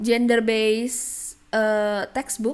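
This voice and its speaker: A woman speaks with an Indonesian accent at a fairly high pitch. Her pace is very slow, with ordinary pitch variation. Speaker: graduate student, educational video maker. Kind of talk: lecture.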